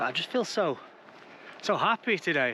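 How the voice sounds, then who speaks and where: A man speaks with an English accent. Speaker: travel vlogger. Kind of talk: casual vlog narration. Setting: outdoors. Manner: hesitant, many ums.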